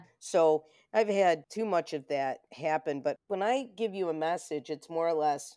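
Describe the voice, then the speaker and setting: Lively intonation carries this woman's fairly low-pitched voice, which has a dark, mellow tone. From Rochester, New York. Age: 50s. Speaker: psychic medium and video producer. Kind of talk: casual interview chat. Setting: remote call.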